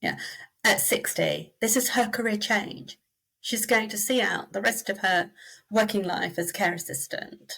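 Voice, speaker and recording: Fairly slow speech from a woman with a British accent. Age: 60s. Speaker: reward and recognition consultant. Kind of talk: interview.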